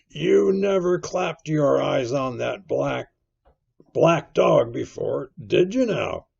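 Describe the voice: In a put-on character voice at medium pitch, a man speaks slowly with lively intonation, a slightly husky edge, a slightly mellow tone and vocal fry.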